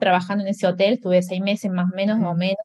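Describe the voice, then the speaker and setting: Somewhat breathy, a woman talks at a very fast pace. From Argentina, Córdoba. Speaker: graphic designer and blogger. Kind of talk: interview. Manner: halting, many repetitions.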